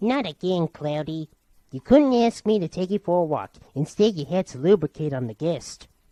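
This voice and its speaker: A woman puts on a character voice, pitched fairly low, with very wide swings in pitch at a moderate pace. The sound is dry and close, with no echo. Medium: fan dub.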